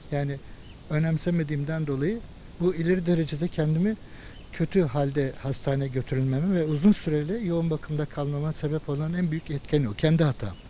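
Fairly high in pitch with a dark, mellow tone, a man talks at a fairly quick pace with ordinary pitch variation. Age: 50s. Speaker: Covid-19 survivor. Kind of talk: interview answer.

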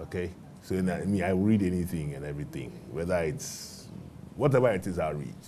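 Very deep, low-pitched man's voice, dark and mellow with vocal fry, lively intonation and a fairly quick pace over light background noise. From Ghana. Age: 50s. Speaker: bank managing director; guest. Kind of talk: interview before a live student audience. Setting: TV studio with live audience. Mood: earnest, thoughtful. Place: studio. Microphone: lapel.

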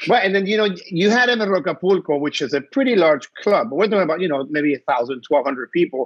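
Against a quiet background, a man with a high voice speaks with lively intonation. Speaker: podcast co-host. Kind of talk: casual chat. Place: home room. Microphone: earbuds.

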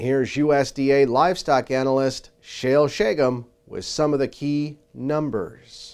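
A man with an ordinary speaking voice talks at a fairly slow pace and a fairly high pitch, with ordinary pitch variation and hardly any pauses. His loudness swings widely against a quiet background. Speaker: agriculture news reporter. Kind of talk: news reading. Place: studio.

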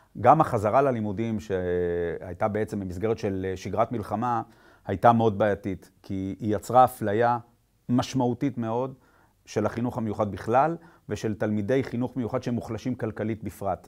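Over a quiet background, a man with a fairly low voice talks at a moderate pace with ordinary pitch variation. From Israel. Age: 50s. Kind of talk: personal testimony at a conference. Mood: serious, concerned. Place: studio.

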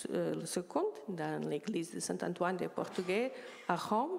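The speaker is a woman with a fairly low pitch. She talks at a very slow pace. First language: Portuguese (speaking French). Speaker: art historian; panelist. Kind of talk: conference talk. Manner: halting. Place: hall. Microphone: handheld.

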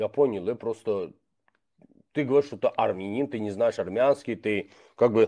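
A man's moderate-paced speech shows ordinary pitch variation against a quiet background. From Azerbaijan. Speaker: blogger. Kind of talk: casual chat. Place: home room. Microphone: video call.

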